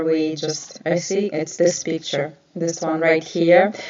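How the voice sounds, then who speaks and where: Noticeable background noise runs beneath the voice of a woman with a non-native accent. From Ukraine. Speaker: nail artist and educator. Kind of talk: live stream talk. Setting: live stream. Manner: hesitant, many filler sounds.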